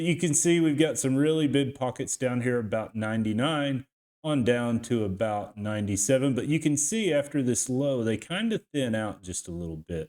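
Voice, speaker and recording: A man speaks in a Texas accent with lively intonation. He leaves hardly any pauses. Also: medium pitch for a man, moderate pace. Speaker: crypto YouTuber and team roper. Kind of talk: market analysis tutorial. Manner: casual, conversational; halting with repetitions.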